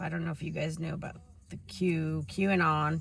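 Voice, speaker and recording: A woman's somewhat breathy, fairly low-pitched voice at a moderate pace. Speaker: vlogger. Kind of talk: testimony. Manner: casual, hesitant with fillers.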